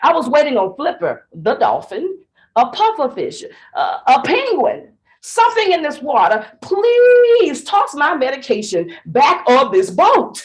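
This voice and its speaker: A woman with a Southern US accent speaks at a fairly slow pace in a high voice. Her tone is animated, with very wide pitch swings. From Tennessee. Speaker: speech contestant. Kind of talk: contest speech.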